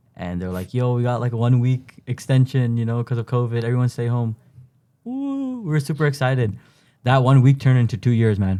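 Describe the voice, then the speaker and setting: This man speaks with a Toronto accent at a fairly quick pace, his medium-pitched voice dark and mellow with fairly even intonation. The recording is very clean over a silent background. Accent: Toronto Canadian English. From Canada, Toronto. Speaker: university student. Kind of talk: casual interview. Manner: casual, halting.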